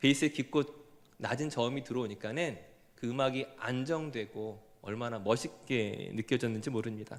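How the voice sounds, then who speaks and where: With normal pitch movement, a man keeps to a medium tempo. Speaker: pastor. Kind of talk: sermon.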